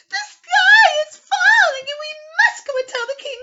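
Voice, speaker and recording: A woman puts on a character voice, pitched extremely high and sounding shaky. Her loudness swings widely as she speaks at a moderate pace. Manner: fearful, urgent.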